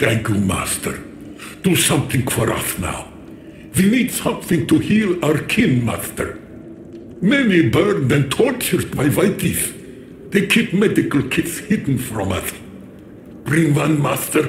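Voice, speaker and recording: Clear background noise accompanies a put-on character voice that unfolds at a fairly slow pace. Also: man, fairly high pitch for a man. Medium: video game. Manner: broken grammar, keeps saying "Master".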